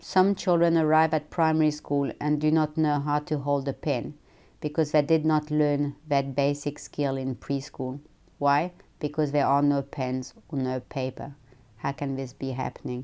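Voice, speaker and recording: Very deep and low in pitch, a woman speaks at a moderate pace with a dark, mellow tone. Her intonation is monotone and flat, and the recording is very clean with a silent background. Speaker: founder of a children's book charity. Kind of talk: presentation speech read aloud. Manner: monotonous.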